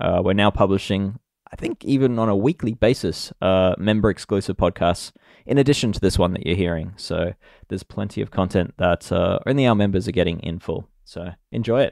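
With an Australian accent, a man talks fairly quickly in a fairly low pitch with ordinary pitch variation, the sound dry and close with no echo over a quiet background. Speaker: podcast host, cycling tech journalist. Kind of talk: casual chat.

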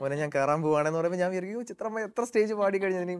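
The pitch of this man's voice varies in an ordinary way. Behind him, things are quiet. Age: young. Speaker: playback singer; interview guest. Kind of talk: interview. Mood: warm, smiling, anecdotal. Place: studio. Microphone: lapel.

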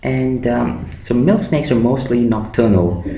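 Noticeable background noise and audible room echo surround this man's voice. He talks at a fairly slow pace with lively intonation. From India, Andhra Pradesh (Amalapuram). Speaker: YouTuber. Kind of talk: tutorial.

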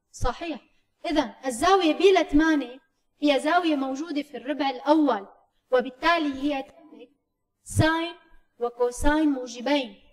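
A woman with a high pitch and ordinary pitch variation speaks at a fairly slow pace over a quiet background. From Syria. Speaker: math teacher. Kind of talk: lecture. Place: meeting room.

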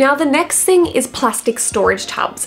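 Here a woman talks at a moderate pace with an Australian accent. Her pitch varies in an ordinary way, over light background noise. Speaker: wardrobe stylist and video creator; video creator. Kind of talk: tutorial. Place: home room.

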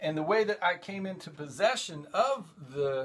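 The speaker is a man. His voice shows ordinary pitch variation. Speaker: show host. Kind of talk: casual vlog chat. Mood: relaxed, enthusiastic. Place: home room. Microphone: phone near.

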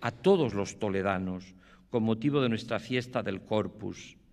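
A man's solemn tone with lively intonation, over music in the background. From Extremadura, Spain. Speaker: archbishop giving the pregón. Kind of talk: formal pregón oratory, solemn ceremonial address to an audience. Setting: theatre stage with audience. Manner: formal, solemn, measured and reverent; heartfelt, emotive, with pauses and hesitations. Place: stage. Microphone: podium.

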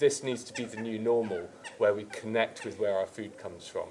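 A man speaks at a fairly quick pace. Light background noise sits behind him. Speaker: company representative interviewer. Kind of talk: interview. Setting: on location at a historic estate. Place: garden.

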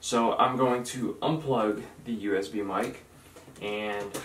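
The intonation is fairly even, with audible room echo around the voice. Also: man. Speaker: tech reviewer. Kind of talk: tutorial. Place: home room. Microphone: camera far.

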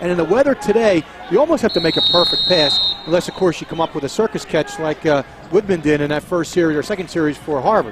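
Over noticeable background noise, a man talks at a very fast pace. His pitch is high, with ordinary variation. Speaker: color commentator. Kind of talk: live commentary. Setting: outdoors.

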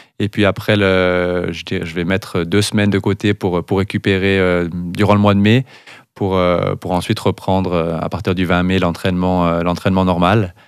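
A man's very deep, low voice in a monotone, flat delivery at a moderate pace, dry with no echo against a quiet background. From Valais, Switzerland; Switzerland. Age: 30s. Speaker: cross-country skier; guest. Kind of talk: interview. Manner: halting, repeats words. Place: studio. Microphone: studio mic.

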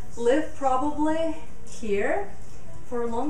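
A woman speaks at a very slow pace with a high pitch and ordinary pitch variation. Audible room echo and light background noise fill the recording. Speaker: yoga teacher. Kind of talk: casual talk during yoga class. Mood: warm, earnest about nature. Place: home room.

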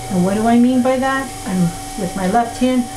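A woman talks at a moderate pace with ordinary pitch variation. Noticeable background noise runs under her voice. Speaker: pottery teacher. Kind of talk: tutorial. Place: workshop.

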